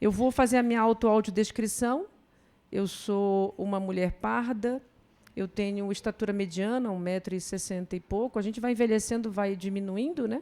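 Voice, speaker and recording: Her voice has a dark, mellow tone at medium pitch, and this woman keeps a moderate pace with fairly even intonation. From northern Brazil, Belém do Pará. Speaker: professor, public health. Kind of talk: conference talk. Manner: seated.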